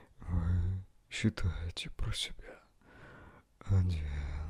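A man with a very deep, low pitch speaks at a very slow pace. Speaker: ASMR relaxation guide. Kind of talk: guided meditation. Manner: calm, slow, soothing. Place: home room. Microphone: handheld.

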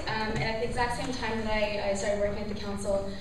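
Audible room echo and noticeable background noise surround a woman's voice. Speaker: presenter. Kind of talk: public presentation. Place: hall. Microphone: camera far.

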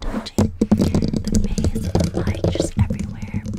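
A woman is whispering. Her pace is fairly slow. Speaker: ASMR creator. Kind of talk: soft-spoken ASMR intro chat. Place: home room. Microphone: studio mic.

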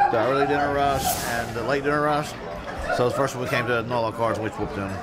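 A man talks at a very fast pace with crowd noise in the background. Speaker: food vlogger. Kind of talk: casual food review chat. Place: cafe.

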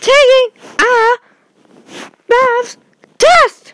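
Pitched extremely high, a woman's voice takes on a cartoonish character voice.

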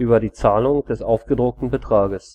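A man's voice at a medium pitch stays fairly level in intonation as he talks at moderate speed. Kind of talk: encyclopedia article reading.

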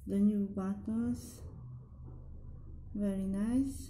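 A woman with a non-native accent, at a very slow pace. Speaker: nail hobby vlogger. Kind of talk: casual product haul talk to camera. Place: home room. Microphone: camera far.

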